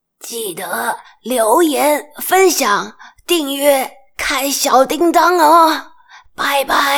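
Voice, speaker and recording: In a put-on character voice, a female-sounding speaker talks at a very slow pace with a high pitch. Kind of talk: sign-off in Mandarin. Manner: playful sign-off.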